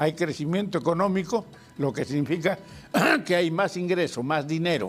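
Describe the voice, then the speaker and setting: High-pitched man's voice with very even loudness, music in the background. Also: ordinary pitch variation, moderate pace. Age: 80s+. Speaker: politician. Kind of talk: interview. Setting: studio.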